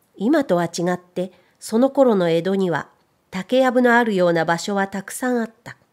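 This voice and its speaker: A woman with a plain, everyday voice talks at a medium pitch and a moderate pace, using lively intonation, in a very clean recording with a silent background. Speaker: narrator; voice trainer. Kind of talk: audiobook reading.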